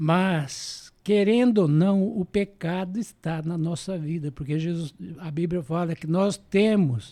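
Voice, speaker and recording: A man with a high pitch and a dark, mellow tone speaks at a very slow pace with hardly any pauses and ordinary pitch variation, in a very clean recording with a silent background. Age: 80s+. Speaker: church elder. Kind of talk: testimony.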